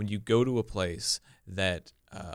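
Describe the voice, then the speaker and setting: A man with an American accent is heard on a very clean recording against a silent background. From US Midwest, Omaha area. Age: 20s. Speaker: comedian. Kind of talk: casual chat.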